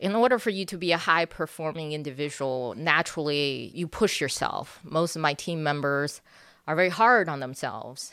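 A woman with a plain, everyday voice, fairly low in pitch, with lively intonation at a moderate pace, on a very clean recording with a silent background. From China, moved to the US at about age 10. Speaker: city government IT executive. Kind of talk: interview.

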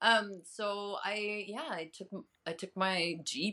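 The speaker is a woman with an animated tone. Her voice sounds bright and sharp. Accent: American. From Chicago area, US Midwest. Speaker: journalist and health advocate. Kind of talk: casual interview chat. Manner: animated, laughs often.

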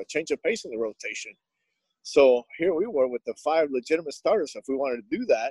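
Very fast speech in a Spanish accent, with very wide pitch swings, a dark, mellow tone and a dry, close sound with no echo. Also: man. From Nicaragua. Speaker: Spanish-language baseball broadcaster. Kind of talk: casual interview.

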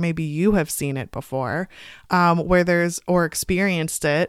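A woman with an unremarkable speaking voice talks at a fairly low pitch and a fairly slow pace, with ordinary pitch variation, in a very clean, dry, close recording with no echo and a silent background. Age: 20s. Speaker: podcast host and author. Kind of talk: casual chat. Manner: casual, frequent fillers.

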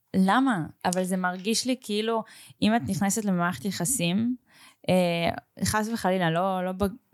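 On a very clean recording with a silent background, an unremarkable speaking voice proceeds at a fairly slow pace with ordinary pitch variation. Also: woman, medium pitch for a woman. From Israel, Russian family background. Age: 20s. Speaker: podcast host. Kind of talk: casual interview chat.

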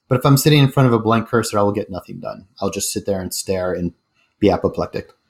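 A man speaks very fast with a General American accent, his medium pitch showing ordinary variation. The recording is very clean, with a silent background. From Colorado (Denver). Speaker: startup CEO. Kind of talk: interview.

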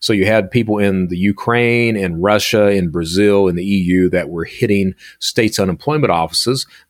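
A man with an Appalachian accent, fairly low pitch and ordinary pitch variation, at a moderate pace with hardly any pauses, in a very clean recording with a silent background. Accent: Appalachian US Southern. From Eastern Kentucky (Hazard). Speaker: cybersecurity consultant and former cybercriminal. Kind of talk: interview conversation.

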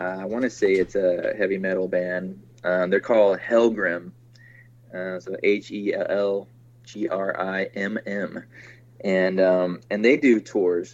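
With an ordinary speaking voice, a man talks at a fairly slow pace, keeping a fairly low pitch and fairly even intonation. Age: 40s. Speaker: film director. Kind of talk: interview.

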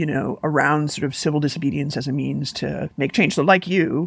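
In an American accent, a woman talks at a fairly quick pace with a very deep, low pitch and vocal fry. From US Midwest, Chicago. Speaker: investigative journalist and academic. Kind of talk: interview conversation. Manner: halting, many fillers and restarts.

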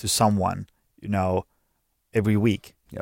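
A man with a Finnish accent speaks at a fairly low pitch and a fairly slow pace. The recording is very clean with a silent background, and the sound is dry and close with no echo. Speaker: podcast host and gym owner. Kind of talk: interview. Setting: studio.

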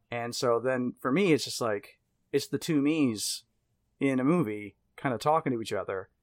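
In a very clean recording with a silent background and a dry, close sound with no echo, a man with an unremarkable speaking voice talks at a moderate pace and medium pitch, varying it in an ordinary way. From US South, Mississippi. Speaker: horror podcast host and writer. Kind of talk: casual chat.

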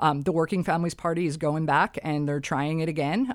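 A woman's very deep, low-pitched voice with fairly even intonation. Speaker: election lawyer and political blogger. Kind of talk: interview.

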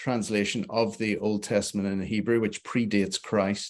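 Someone with a Northern Irish accent talks at a moderate pace against a quiet background. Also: man. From Belfast, Northern Ireland. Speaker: theologian and author. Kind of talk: casual interview. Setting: live video show.

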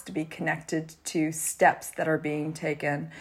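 A plain, everyday voice speaks at a moderate pace on a very clean recording with a silent background. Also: woman. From Canada. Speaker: fashion publisher and consultant. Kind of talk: casual interview.

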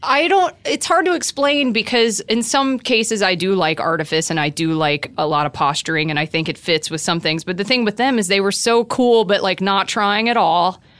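A woman's medium-pitched voice in an American accent, at a moderate pace with hardly any pauses and very wide pitch swings, over noticeable background noise. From Atlanta, Georgia (US South). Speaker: comedian. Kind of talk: casual chat. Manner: animated.

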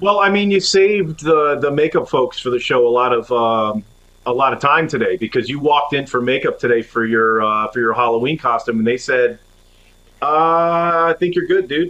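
The intonation is lively. The speech moves at a moderate pace. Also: man. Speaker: podcast producer. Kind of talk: casual chat.

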